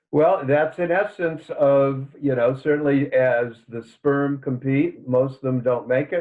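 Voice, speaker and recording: A man with an unremarkable speaking voice, fairly even intonation and a fairly slow pace. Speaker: author and psychotherapist. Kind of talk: podcast interview.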